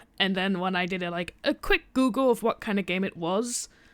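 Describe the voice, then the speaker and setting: At a moderate pace, a woman talks at a medium pitch with ordinary pitch variation, in a very clean recording with a silent background. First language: not English. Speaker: game streamer. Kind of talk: live gameplay stream. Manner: casual, hesitant with fillers.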